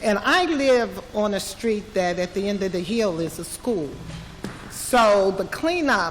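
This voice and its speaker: With lively intonation and a fairly slow pace, the speech carries audible room echo and noticeable background noise. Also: woman, medium pitch for a woman. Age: 60s. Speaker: resident speaking at a public listening session. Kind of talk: public comment. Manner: halting.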